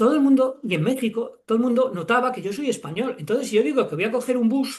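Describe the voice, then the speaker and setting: Very fast, animated speech in a Spanish accent. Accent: Spanish from Spain, clear z sounds. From Spain, Castile and León. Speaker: children's author and academic. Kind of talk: interview conversation. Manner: animated, with stammers and repetitions.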